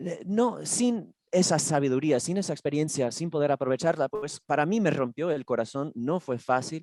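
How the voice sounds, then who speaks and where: Hardly pausing, a woman with a very deep, low pitch and a dark, mellow tone talks with lively intonation, the sound dry and close with no echo. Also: moderate pace. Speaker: caregiver and panel moderator. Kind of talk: panel discussion. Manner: informal.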